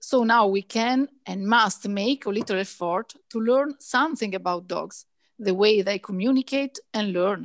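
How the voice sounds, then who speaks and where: A woman speaks fairly slowly in a normal speaking voice, pitched fairly high with ordinary variation. The sound is dry and close, with no echo. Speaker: veterinarian and dog trainer. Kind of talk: interview.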